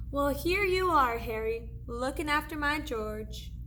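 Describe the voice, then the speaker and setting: The speaker uses a put-on character voice with a fairly high pitch. The pace is fairly slow, and there is clear background noise. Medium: read story.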